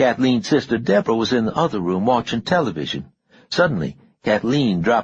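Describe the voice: A quiet background behind plain reading aloud.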